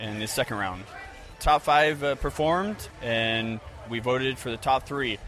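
A man with an American accent speaks at a moderate pace. His pitch varies in an ordinary way over noticeable background noise. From Florida. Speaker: comedy event organizer. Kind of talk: interview.

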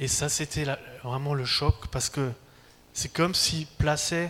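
Pitch is fairly high for this man. He speaks very slowly with fairly even intonation. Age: 40s. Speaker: preacher. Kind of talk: sermon.

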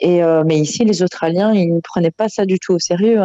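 A woman speaks in a dark, mellow tone with fairly even intonation, the sound dry and close with no echo. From Belgium. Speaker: expat caller. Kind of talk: phone interview.

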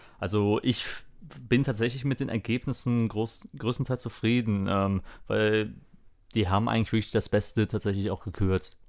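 On a very clean recording with a silent background, a man with an unremarkable speaking voice talks at a fairly slow pace, fairly low in pitch and with fairly even intonation. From Lower Rhine, western Germany. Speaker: podcast co-host. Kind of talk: casual chat.

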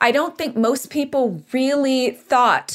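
A woman speaks at a very slow pace. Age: 30s. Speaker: writer and abortion rights activist. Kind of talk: political interview.

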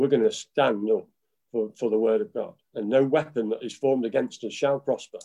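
With an English accent, a man speaks at a fairly quick pace. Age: 50s. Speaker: pastor. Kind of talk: preaching.

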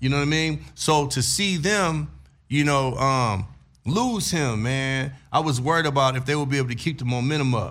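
A man speaks in a plain, everyday voice with a fairly high pitch and ordinary pitch variation. His pace is moderate and his loudness very even. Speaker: podcast host. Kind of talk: casual chat.

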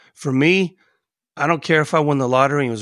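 A man with an American accent talks at a very fast pace. His pitch varies in an ordinary way, and the background is quiet. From US, Cascade. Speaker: podcast co-host, jiu-jitsu practitioner. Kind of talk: casual chat. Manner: animated.

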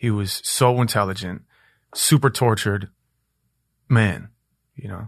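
Fairly slow, somewhat breathy speech from a man with an American accent, medium pitch, ordinary pitch variation and long, frequent pauses, against a quiet background. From Minneapolis, US Midwest. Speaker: rapper. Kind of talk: casual chat. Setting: studio.

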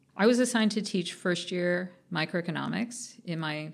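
Vocal fry with ordinary pitch variation, in a very clean recording with a silent background. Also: woman. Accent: American. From US West Coast (Orange County, California). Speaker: economics professor. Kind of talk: casual interview.

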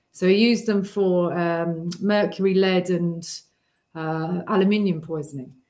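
A woman with a British accent. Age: 40s. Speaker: holistic therapy researcher. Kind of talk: casual livestream chat. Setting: video call.

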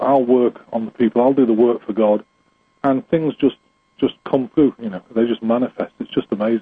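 A very fast man with medium pitch and an English accent. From England. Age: 50s. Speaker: spiritual healer. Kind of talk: interview.

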